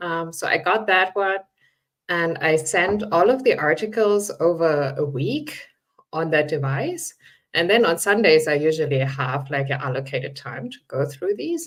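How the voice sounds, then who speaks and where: At a moderate pace, the speech comes in a non-native accent. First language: not English. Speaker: writer. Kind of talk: panel discussion. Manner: casual, hesitant fillers.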